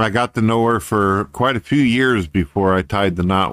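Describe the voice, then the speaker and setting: Using an ordinary speaking voice, a man talks at a moderate pace with an American accent and ordinary pitch variation. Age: 40s. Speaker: YouTuber and online radio host. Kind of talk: monologue vlog. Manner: casual, profane.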